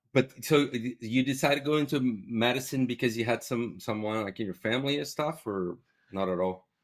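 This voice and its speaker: A man with a Portuguese accent at medium pitch, fairly quick in pace, with ordinary pitch variation. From Brazil. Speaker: ophthalmology professor. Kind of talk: casual interview chat. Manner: halting, many repetitions and fillers.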